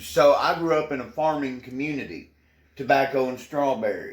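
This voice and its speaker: A man speaks with a Tennessee accent, his pitch fairly high. His pace is moderate and his pitch varies in an ordinary way. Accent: Southern US (Tennessee). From Tennessee (Portland, rural Middle Tennessee). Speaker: news anchor. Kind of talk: interview.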